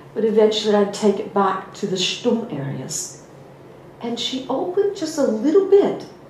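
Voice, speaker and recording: With an American accent, a woman speaks at a moderate pace in a fairly high pitch with very wide pitch swings, amid noticeable background noise and audible room echo. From US. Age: 50s. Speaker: spiritual teacher. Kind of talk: personal story in a talk.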